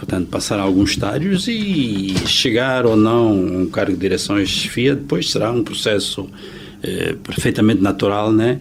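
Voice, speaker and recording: Audible room echo and noticeable background noise surround a voice speaking at a moderate pace with ordinary pitch variation. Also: man, fairly low pitch for a man. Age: 60s. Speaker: accountant. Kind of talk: interview. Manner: hesitant, many fillers.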